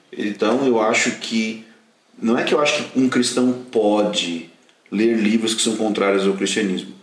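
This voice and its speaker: At a fairly slow pace and a medium pitch with ordinary pitch variation, a man speaks at very even loudness amid audible room echo and noticeable background noise. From southern Brazil. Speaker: pastor and Bible course teacher. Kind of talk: casual chat. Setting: at the guests' home.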